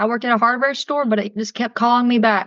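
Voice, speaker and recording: Speaking with a Southern US accent, a woman talks at a fairly quick pace in a high voice with a bright, sharp tone and fairly even intonation. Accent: Southern accent, lighter than some. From US South, Augusta, Georgia. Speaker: tour guide and podcast host. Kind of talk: casual chat. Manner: fast.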